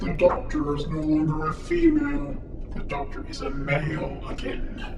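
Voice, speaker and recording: A man's put-on character voice at a moderate pace, with slight echo and loud background noise. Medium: audio drama. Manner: cold, sardonic.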